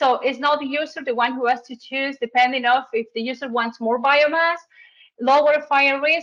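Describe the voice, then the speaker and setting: A woman speaks in a high pitch with a bright, sharp tone. Her pitch variation is ordinary, and the background is quiet. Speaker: forest researcher. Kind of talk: webinar presentation. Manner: halting.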